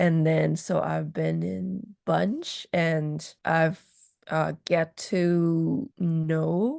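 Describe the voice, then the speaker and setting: A woman is heard in a dry, close sound with no echo against a quiet background. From Hong Kong. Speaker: interviewee sharing personal story. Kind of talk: casual interview. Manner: halting, many fillers.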